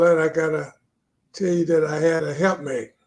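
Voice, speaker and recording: Here a man speaks at a high pitch with fairly even intonation. His pace is moderate. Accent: Virginia. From Virginia, Lunenburg County. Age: 80s+. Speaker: retired pastor and author. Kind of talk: interview testimony.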